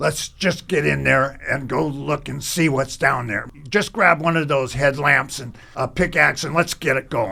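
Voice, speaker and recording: A man's put-on character voice, raspy and fairly high, at a moderate pace over light background noise. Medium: audio drama. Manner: brusque, impatient.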